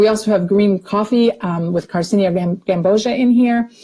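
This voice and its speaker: A woman with a dark, mellow tone and medium pitch sounds somewhat breathy as she talks at a moderate pace. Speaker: nutrition supplement presenter. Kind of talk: webinar product presentation. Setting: online webinar.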